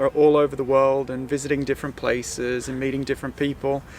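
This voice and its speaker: A man with an Australian accent talks at a fairly quick pace in a fairly high voice, his intonation monotone and flat. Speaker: sailing vlogger. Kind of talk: vlog introduction, casual talk to camera. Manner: hesitant, many fillers.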